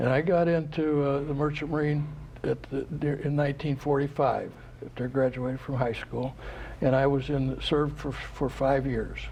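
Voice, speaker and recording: In an American accent, a man at medium pitch speaks with monotone, flat intonation at a moderate pace against noticeable background noise. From Florida, US. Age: 80s+. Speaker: war veteran. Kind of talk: interview. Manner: halting.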